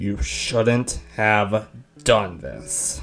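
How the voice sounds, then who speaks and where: A man's put-on character voice at a fairly low pitch, with faint music in the background. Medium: audio drama. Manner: calm.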